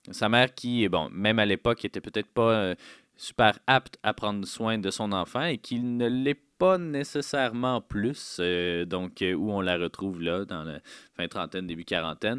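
A man in a Quebec accent at a fairly slow pace and fairly low pitch, with lively intonation. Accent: Québécois French. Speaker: film critic radio host. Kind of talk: radio show with interviews.

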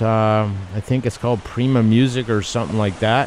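Noticeable background noise surrounds a man speaking with an American accent. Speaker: radio host. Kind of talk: radio show interview. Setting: studio. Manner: animated.

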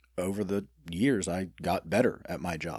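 In an Alabama accent, a man speaks with a very deep, low pitch. The recording is very clean, with a silent background. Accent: US South (Alabama). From Birmingham, Alabama. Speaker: restaurant owner. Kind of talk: casual interview chat.

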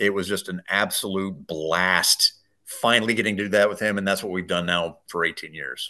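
With an American accent, a man speaks in a fairly low pitch. His tone is bright and sharp, and his intonation fairly even. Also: quiet background. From Colorado. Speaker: radio host and sports announcer. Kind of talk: interview.

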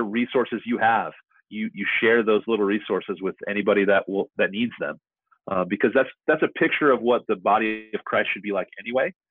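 Music plays in the background. A man speaks at a fairly quick pace with ordinary pitch variation. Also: medium pitch for a man. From New Mexico. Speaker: pastor. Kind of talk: casual interview. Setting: remote call.

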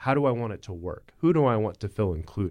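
Lively intonation marks this man's speech in an American accent. The background is quiet. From US. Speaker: podcast host. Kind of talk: interview.

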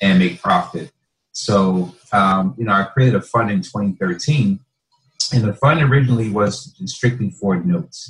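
Talking at a moderate pace with an American accent, a man has a somewhat breathy voice and ordinary pitch variation. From northern New Jersey. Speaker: real estate investor. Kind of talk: interview.

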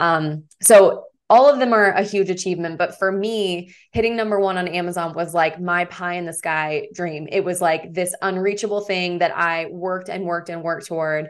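A woman's plain, everyday voice with an American accent, fairly low in pitch, at a moderate pace with fairly even intonation. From Oklahoma, then Florida from 14. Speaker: romance author. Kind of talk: interview.

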